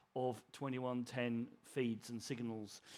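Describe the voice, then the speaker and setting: Here is a man with an English accent. He speaks at a moderate pace. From England, Suffolk. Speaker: broadcast technologist. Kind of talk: conference presentation. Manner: halting.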